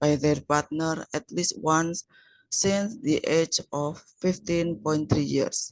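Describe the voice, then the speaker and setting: A woman's very deep, low voice with an Indonesian accent at a fairly slow pace, dry and close with no echo. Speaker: researcher. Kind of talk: conference presentation. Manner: halting.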